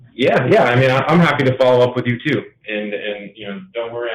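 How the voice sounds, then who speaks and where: A man talks very fast, his loudness swinging widely. Noticeable background noise runs underneath. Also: medium pitch for a man. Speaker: company owner. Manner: monotone.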